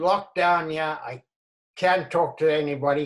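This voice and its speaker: A man's fairly high voice, fairly even in intonation, against a quiet background. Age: 80s+. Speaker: elderly man in lockdown. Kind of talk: short film dialogue, phone call. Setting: video call. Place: home room. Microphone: video call.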